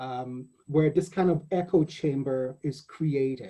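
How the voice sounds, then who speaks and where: A man's somewhat breathy voice, dark and mellow in tone, with lively intonation at a fairly slow pace. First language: not English. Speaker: poet and anthology editor hosting panel. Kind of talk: panel discussion. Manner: halting, self-correcting.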